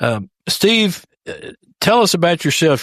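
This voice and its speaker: A man with a Texas accent talks at a moderate pace on a very clean recording with a silent background, the sound dry and close with no echo. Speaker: podcast host. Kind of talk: interview podcast. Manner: hesitant, many fillers.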